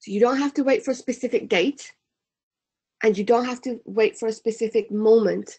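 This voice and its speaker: A woman's fairly high voice comes at a fairly quick pace, dark and mellow in tone, with ordinary pitch variation. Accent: British. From UK. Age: 30s. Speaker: personal development trainer. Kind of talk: webinar presentation. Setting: online webinar.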